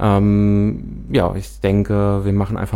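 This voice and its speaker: A man speaks at a fairly slow pace. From Hesse, Büdingen area. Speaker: radio host. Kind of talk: talk radio interview. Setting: studio.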